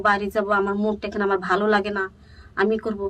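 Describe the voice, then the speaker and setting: A woman speaks in a fairly high pitch. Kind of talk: interview answer.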